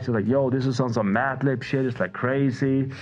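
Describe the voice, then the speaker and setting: Against noticeable background noise, a man speaks at a very fast pace with a Faroese accent. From Faroe Islands, small village. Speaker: music producer. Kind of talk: casual chat.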